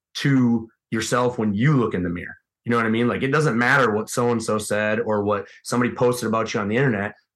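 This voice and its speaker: A man with an American accent at a medium pitch and very fast pace, with fairly even intonation, over a quiet background. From US Midwest, Wisconsin. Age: 30s. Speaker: high school strength coach and elk hunter. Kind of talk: casual interview chat.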